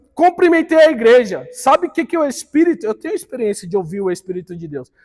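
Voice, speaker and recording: A man with an extremely high voice, an animated tone, very wide pitch swings, and a fairly quick pace. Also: big swings in loudness. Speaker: Bible school teacher. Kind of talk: church Bible class lecture.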